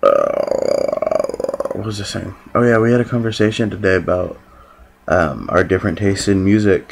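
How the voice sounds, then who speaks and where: Speaking at a fairly slow pace, a man talks. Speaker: vlogger. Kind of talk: casual vlog chat. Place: home room. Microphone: phone near.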